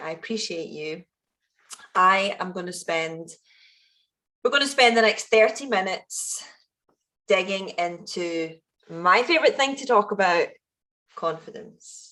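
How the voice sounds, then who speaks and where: With a west of Scotland accent, the speaker talks at a fairly slow pace in a bright, sharp tone, with big swings in loudness and long, frequent pauses. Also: woman, medium pitch for a woman, lively intonation. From Scotland, Ayrshire (Kilmarnock). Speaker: founder and event speaker. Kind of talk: keynote talk at online event. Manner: animated.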